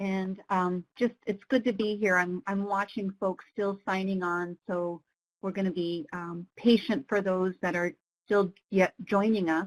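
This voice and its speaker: The recording of this woman is dry and close, with no echo. She has a plain, everyday voice at medium pitch, speaking at a fairly slow pace with fairly even intonation. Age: 50s. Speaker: webinar co-facilitator. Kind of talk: webinar presentation. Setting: online webinar.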